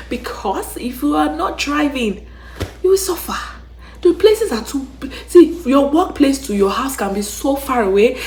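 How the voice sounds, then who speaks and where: Over noticeable background noise and audible room echo, a woman with a high pitch speaks in an animated tone at a moderate pace, her pitch swinging very widely. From Nigeria. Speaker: YouTuber, travel and relocation vlogger. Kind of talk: casual vlog monologue.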